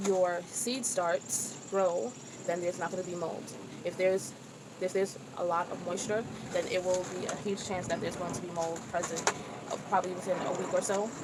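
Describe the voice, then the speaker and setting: Noticeable background noise accompanies a woman's voice. Her medium pitch stays monotone and flat. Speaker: chef and home gardener vlogger. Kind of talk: tutorial. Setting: outdoors on a porch. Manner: halting.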